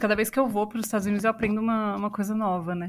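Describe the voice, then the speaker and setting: The recording is very clean, with a silent background. A woman talks at a fairly high pitch with ordinary variation. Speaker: podcast host, journalist and voice actress. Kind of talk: casual chat.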